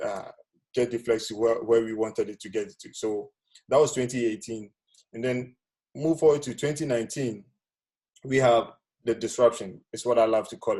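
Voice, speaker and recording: A man speaks with a medium pitch and a dark, mellow tone, using ordinary pitch variation. His loudness swings widely, and he takes long, frequent pauses. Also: moderate pace. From Ghana. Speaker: business speaker. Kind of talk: webinar presentation. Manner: soft-spoken; casual, hesitant.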